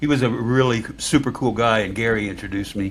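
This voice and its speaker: A man with a normal speaking voice, medium pitch, and ordinary pitch variation. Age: 60s. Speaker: music podcast host. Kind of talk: casual chat.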